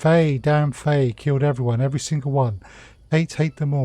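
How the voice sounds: Putting on a wheezy character voice, a man talks fairly quickly at a fairly high pitch with fairly even intonation.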